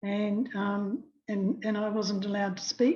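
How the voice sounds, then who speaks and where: Her voice is somewhat breathy, with a dark, mellow tone and medium pitch for a woman. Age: 80s+. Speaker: anti-fluoride activist. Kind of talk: testimony. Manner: halting.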